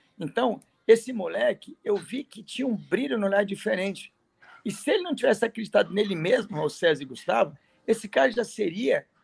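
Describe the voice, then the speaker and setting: A man's high-pitched voice with lively intonation. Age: 50s. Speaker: prep course teacher. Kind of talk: casual chat.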